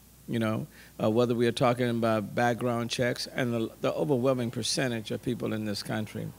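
Light background noise sits behind a man speaking in a flat monotone. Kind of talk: press statement. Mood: serious, somber. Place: street. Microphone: podium.

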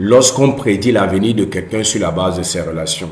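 Man's somewhat breathy voice at a medium pitch, ordinary pitch variation, with audible room echo. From Cameroon. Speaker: personal development YouTuber. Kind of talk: motivational talk. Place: home room. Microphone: earbuds.

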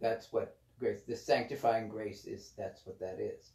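A man speaks in a somewhat breathy voice. Audible room echo surrounds him. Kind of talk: spiritual reading with commentary. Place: home room. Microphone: camera far.

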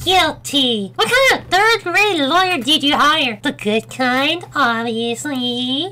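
Hardly pausing, a put-on character voice that sounds female speaks at a high pitch over light background noise. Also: fairly slow pace. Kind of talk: gaming commentary. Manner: upbeat.

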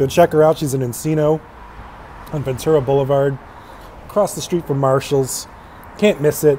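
A man talking at a fairly quick pace over light background noise. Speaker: food reviewer. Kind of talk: casual vlog chat. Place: street. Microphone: earbuds.

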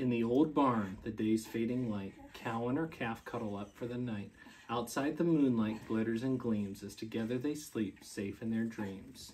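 A soft-spoken man with a soothing, warm tone, ordinary pitch variation, a moderate pace and hardly any pauses, over light background noise. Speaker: school staff member reading to children. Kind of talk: gentle bedtime story read aloud to young children, with pauses for kids. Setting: at home with his young children. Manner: soothing, lilting storyteller cadence, softly winding down; warm and playful, laughing and prompting little listeners. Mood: calm, soft bedtime tone. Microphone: camera far.

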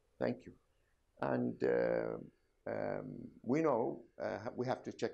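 A man with an Arabic accent speaks at a fairly slow pace. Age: old. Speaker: doctor, medical professor. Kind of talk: medical examination demonstration.

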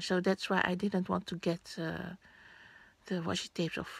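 Speaking at a medium pitch, a woman talks with a Dutch accent. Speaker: vlogger. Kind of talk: unboxing vlog. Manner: halting.

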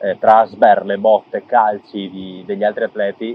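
A man's fairly low, monotone voice with flat intonation and a dry sound with no echo. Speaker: amateur triathlete vlogger. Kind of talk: casual vlog chat. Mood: reflective, pleased. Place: forest. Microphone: lapel.

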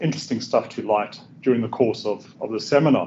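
A man talks at a very fast pace. Light background noise can be heard. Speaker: presenter. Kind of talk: lecture. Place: classroom.

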